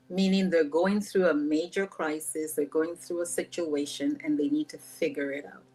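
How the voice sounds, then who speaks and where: The speaker has a slight Nigerian accent and a moderate pace. Loudness swings widely. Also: woman, fairly low pitch for a woman, ordinary pitch variation. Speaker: life coach. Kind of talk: podcast interview. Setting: podcast recording.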